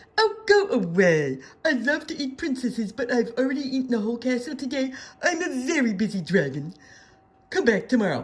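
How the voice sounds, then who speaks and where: This put-on character voice sits at a fairly high pitch and moves at a fairly quick pace. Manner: dismissive, busy, annoyed.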